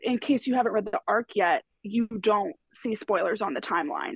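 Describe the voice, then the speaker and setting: A woman's somewhat breathy voice, fairly high in pitch with very wide pitch swings, at a moderate pace in a dry, close sound with no echo. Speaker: podcast contributor, romance reader. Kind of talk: casual chat.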